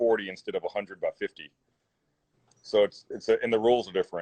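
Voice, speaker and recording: This man speaks with a Texan accent. He talks at a very fast pace. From Zephyr, Texas. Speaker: business owner. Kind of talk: interview answer.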